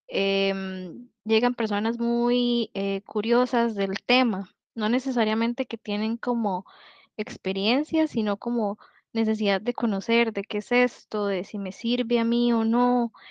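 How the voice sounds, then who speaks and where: A woman's fairly high voice, monotone and flat, at a fairly slow pace. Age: 30s. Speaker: polyamory community organizer. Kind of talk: podcast interview.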